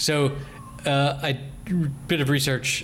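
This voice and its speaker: A man's medium-pitched voice at a very slow pace. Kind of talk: casual chat.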